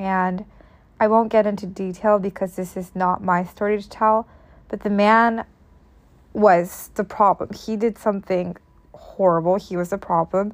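The recording is very clean, with a silent background. A woman speaks at a medium pitch in a monotone, flat way. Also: moderate pace. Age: 20s. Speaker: podcast host. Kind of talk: solo monologue podcast.

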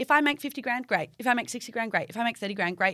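An animated woman with an Australian accent speaks in a bright, sharp tone at fairly high pitch with ordinary pitch variation. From Perth, Western Australia. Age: 20s. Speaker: beauty therapist and business owner. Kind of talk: casual interview chat.

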